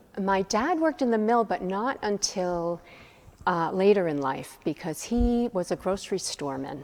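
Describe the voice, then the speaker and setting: Speaking at a moderate pace and medium pitch, a woman's voice makes very wide pitch swings. The recording is very clean, with a silent background. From Maine, Millinocket. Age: 60s. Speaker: church member interviewee. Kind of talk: interview.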